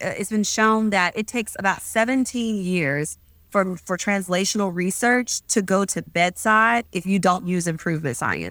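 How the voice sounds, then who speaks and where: Using a plain, everyday voice, a woman speaks at a medium pitch and moderate pace with ordinary pitch variation on a very clean recording with a silent background. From US South, Mississippi. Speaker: physician. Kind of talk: interview.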